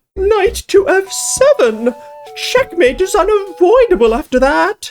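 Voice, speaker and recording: A put-on character voice at an extremely high pitch, with very wide pitch swings, a fairly slow pace and faint music in the background. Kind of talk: comic put-on silly voice. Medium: actual play. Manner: earnest, formal, fretful.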